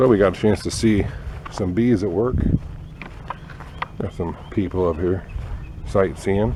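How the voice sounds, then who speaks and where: With noticeable background noise, a man with a very deep, low voice speaks at a fairly slow pace, pausing long and often. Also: ordinary pitch variation. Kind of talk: nature walk video for students. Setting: outdoors on nature trail. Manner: quiet, keeping voice down.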